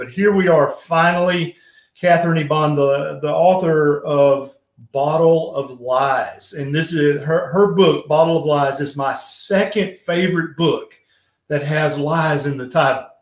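At a moderate pace and with fairly even intonation, a man speaks against a quiet background with audible room echo. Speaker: live stream host. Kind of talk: casual live-stream talk and interview intro. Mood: friendly, light humor. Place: home room. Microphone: webcam.

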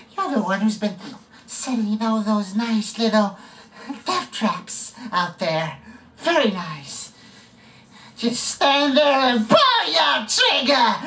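A man puts on a high-pitched character voice, raised and projected, with lively intonation. He goes very slowly, with long, frequent pauses. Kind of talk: audition practice takes. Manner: menacing.

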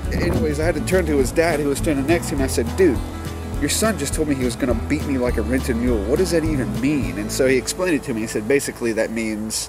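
Someone with an American accent talks at a very fast pace. Clear music plays in the background, and the sound is dry with no echo. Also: man. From Mississippi, USA. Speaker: vlogger. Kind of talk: casual vlog talk to camera. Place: garden. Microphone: phone near.

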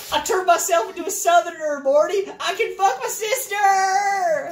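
This put-on character voice sits at an extremely high pitch and moves at a moderate pace. Background noise is clearly audible.

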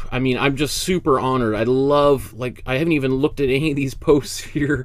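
Here a man is talking. His pace is moderate. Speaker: art teacher. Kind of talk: online class intro. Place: home room. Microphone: studio mic.

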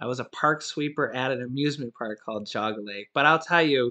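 The speaker has an American accent and a bright, sharp tone. The pace is moderate against a quiet background. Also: man. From US Midwest (Ohio). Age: 30s. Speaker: YouTuber. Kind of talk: video monologue. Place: home room. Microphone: webcam.

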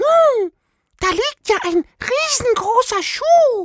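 A man's put-on character voice at an extremely high pitch and a very slow pace. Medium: read story.

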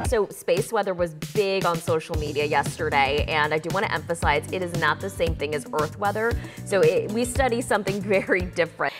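Clear music plays behind a woman speaking at a fairly quick pace with hardly any pauses. Her fairly low voice has lively intonation. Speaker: broadcast meteorologist. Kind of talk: TV weather broadcast.

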